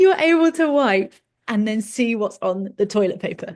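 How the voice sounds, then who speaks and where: A woman speaks with a fairly high pitch and very wide swings in her pitch. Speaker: fertility educator. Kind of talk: educational webinar. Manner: fast.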